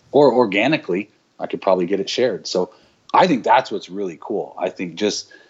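Using an ordinary speaking voice, a man with a fairly low pitch talks at a fairly quick pace. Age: 40s. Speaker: digital agency owner. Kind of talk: casual chat.

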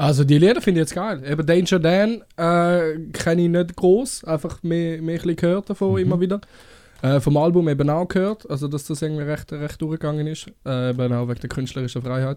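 Fairly quick in pace, a man talks with fairly high pitch, ordinary pitch variation and a dark, mellow tone. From Switzerland, Winterthur area. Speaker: chef. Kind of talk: casual chat. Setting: studio.

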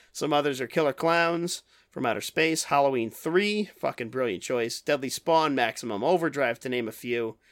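This very clean recording with a silent background features a man with an unremarkable speaking voice. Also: fairly high pitch for a man, lively intonation, moderate pace. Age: 30s. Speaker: podcast host. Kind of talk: casual chat.

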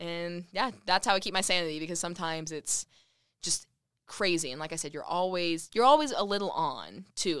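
A woman with an American accent, fairly low in pitch with a bright, sharp tone, at a fairly quick pace on a very clean recording with a silent background. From Texas (Lubbock). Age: 20s. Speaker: TV news reporter. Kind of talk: casual chat. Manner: animated.

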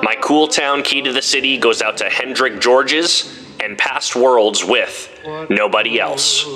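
With music in the background, the speech moves at a fairly slow pace with ordinary pitch variation. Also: man, medium pitch for a man. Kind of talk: radio DJ patter, upbeat show intro with promo plugs.

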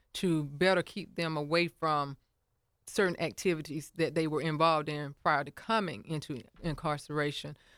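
In a Southern US accent, a woman speaks with a very deep, low pitch and fairly even intonation at a moderate pace. The recording is very clean, with a silent background. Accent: Southern US (Georgia). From US South (Milledgeville, Georgia). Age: 50s. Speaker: mayoral candidate and pastor. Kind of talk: radio interview. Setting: studio.

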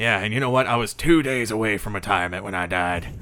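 Putting on a character voice, a man speaks raspy and fairly low at a very fast pace against light background noise. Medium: actual play. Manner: grumbling, reminiscing, wry.

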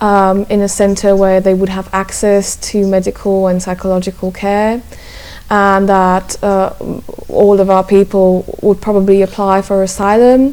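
A woman speaks at a fairly slow pace in a medium pitch, her intonation flat and monotone, with noticeable background noise behind her. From Slovakia. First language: Slovak. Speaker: journalist. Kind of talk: interview. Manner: halting.

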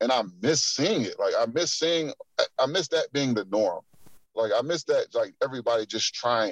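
Recorded with a dry, close sound and no echo, a man with an American accent speaks at a moderate pace with very even loudness. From Akron, Ohio. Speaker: pro basketball player. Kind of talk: casual interview. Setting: in a car.

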